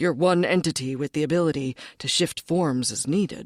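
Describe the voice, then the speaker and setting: A woman's put-on character voice, very deep and low, at a moderate pace in a very clean recording with a silent background. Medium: read story. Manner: gruff, curt.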